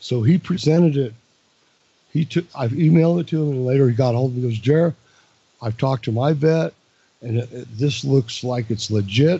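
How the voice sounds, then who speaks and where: A somewhat breathy man speaks at a fairly quick pace and medium pitch. His pitch varies in an ordinary way, and he leaves long, frequent pauses. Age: 60s. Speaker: caller to a talk radio show. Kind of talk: casual chat. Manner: halting.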